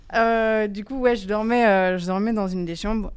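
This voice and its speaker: At a fairly slow pace, a woman talks with fairly even intonation. She has an ordinary speaking voice. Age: 20s. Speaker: youth centre podcast participant. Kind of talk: casual discussion.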